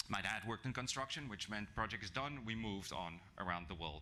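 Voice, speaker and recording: This man has a non-native accent and a bright, sharp tone. His pitch is fairly low, with ordinary pitch variation. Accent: non-native foreign. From South Africa. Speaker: HR executive, guest speaker. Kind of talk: business presentation. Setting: breakfast event talk to live audience. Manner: hesitant, many fillers.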